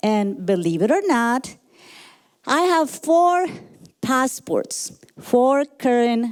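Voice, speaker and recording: A woman with a Colombian accent speaks at a very slow pace in a high voice. Her pitch swings very widely while her loudness stays very even. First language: Spanish. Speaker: motivational speaker and leadership coach. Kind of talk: motivational talk.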